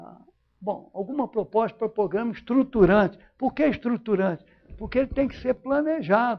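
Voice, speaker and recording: A man's high-pitched voice at a moderate pace, with lively intonation and big swings in loudness. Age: 80s+. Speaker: professor. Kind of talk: lecture. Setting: lecture hall with audience. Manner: conversational, informal.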